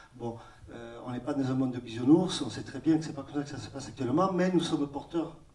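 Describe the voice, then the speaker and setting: The man's voice sits at medium pitch with ordinary variation, and he talks at a fairly quick pace. Noticeable background noise sits behind him. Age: 50s. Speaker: organic farmer. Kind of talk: round-table discussion. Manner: halting.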